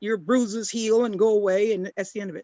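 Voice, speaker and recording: The voice is a woman's. It sits at a fairly high pitch. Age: 60s. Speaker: community panelist. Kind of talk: panel discussion. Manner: halting, many repeated words.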